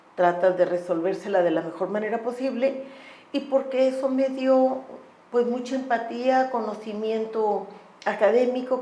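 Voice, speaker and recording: A woman with fairly high pitch and fairly even intonation speaks at a moderate pace, with audible room echo and noticeable background noise. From Tamaulipas, northeastern Mexico. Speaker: law professor and human rights lawyer. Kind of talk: podcast interview.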